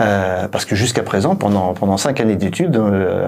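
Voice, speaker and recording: A man talks with a fairly low pitch and ordinary pitch variation. Audible room echo surrounds his voice. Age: 60s. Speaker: company founder and director. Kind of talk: interview. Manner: halting, many hesitations.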